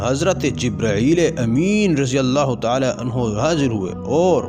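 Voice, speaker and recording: Speech with very wide swings in pitch, backed by music. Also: man. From Pakistan. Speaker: voice over artist. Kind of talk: religious story narration.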